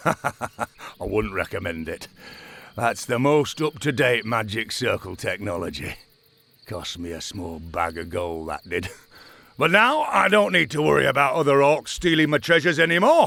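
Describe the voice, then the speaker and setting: Doing a put-on character voice, a man at medium pitch swings very widely up and down while keeping a moderate pace. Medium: video game. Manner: laughing, mocking.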